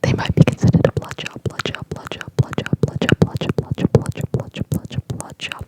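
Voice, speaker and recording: The speech is whispered at a moderate pace. Behind it sits noticeable background noise. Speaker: ASMR creator. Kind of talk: ASMR whisper tutorial. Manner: whispered, repetitive.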